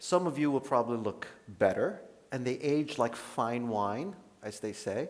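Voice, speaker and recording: With an American accent, a man talks at a medium pitch and a moderate pace. His intonation is lively, and room echo is audible. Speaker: dermatologist. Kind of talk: lecture. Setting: conference stage with audience. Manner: casual, conversational.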